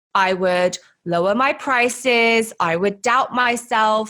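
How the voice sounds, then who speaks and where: Bright and sharp in tone, a woman with a British accent speaks at a fairly high pitch with lively intonation. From UK. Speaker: podcast host and money mindset coach. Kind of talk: personal storytelling podcast monologue.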